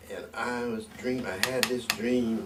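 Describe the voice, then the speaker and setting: A man with a medium-pitched voice talks in a space with audible room echo and noticeable background noise. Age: 80s+. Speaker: musician. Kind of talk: casual chat. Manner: animated.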